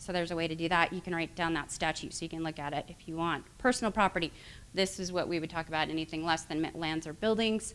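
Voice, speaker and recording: Speaking at a very fast pace, the woman keeps a fairly low pitch. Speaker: attorney. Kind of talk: lecture. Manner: halting.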